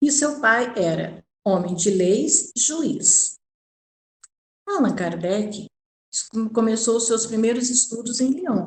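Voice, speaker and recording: The speaker talks at a very slow pace with lively intonation and long, frequent pauses. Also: woman, fairly high pitch for a woman. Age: 60s. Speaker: spiritist course lecturer. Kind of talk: lecture. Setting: recording at home. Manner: halting.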